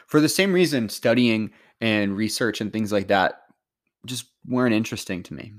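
A man with an unremarkable speaking voice and medium pitch talks at a moderate pace with lively intonation and big swings in loudness, on a very clean recording with a silent background. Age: 30s. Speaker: podcaster reading and discussing a self-help book. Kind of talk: reading aloud; casual commentary.

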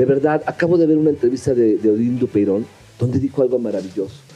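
A man talks at a very fast pace in a medium pitch. His loudness stays very even, with ordinary pitch variation. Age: 50s. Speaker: voice actor. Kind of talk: heated debate.

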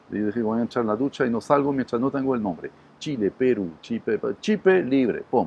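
Here a man talks with a French accent. His pace is very fast. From southern France, Montpellier. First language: French (speaking Spanish). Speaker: restaurant entrepreneur. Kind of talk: interview. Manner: halting with fillers.

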